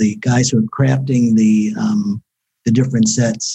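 Speaking with an American accent, a man talks at a fairly slow pace with lively intonation. His tone is dark and mellow and somewhat breathy. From Newark, New Jersey. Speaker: podcast host. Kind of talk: interview.

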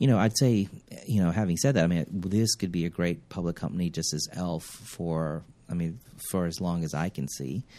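With an American accent, a man speaks at a fairly quick pace in a very deep, low pitch, with a dark, mellow tone and ordinary pitch variation. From Kenya and Uganda, then US. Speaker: company CEO. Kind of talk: interview. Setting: company headquarters.

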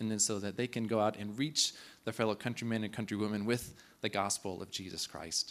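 A man with an American accent speaks fairly quickly at a fairly low pitch, keeping his intonation fairly even. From Kansas, US (Clearwater). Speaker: missionary. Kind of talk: church presentation. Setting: church.

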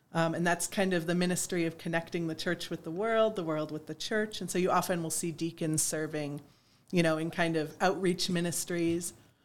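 A woman with an unremarkable speaking voice talks at a fairly quick pace with fairly even intonation, a fairly low pitch and an American accent, on a very clean recording with a silent background. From western New York (East Aurora). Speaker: diocesan staff member and clergy. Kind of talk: casual interview.

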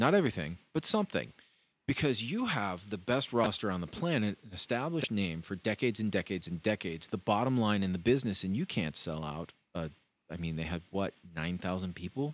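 Speaking at a fairly quick pace, a man uses an ordinary speaking voice with a fairly low pitch. His intonation is lively. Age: 40s. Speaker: wrestling podcast co-host. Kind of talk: casual chat. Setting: studio.

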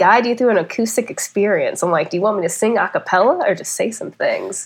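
A fairly quick delivery with an American accent. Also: woman. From US Midwest, North County St. Louis, Missouri. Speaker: film director. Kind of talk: casual chat.

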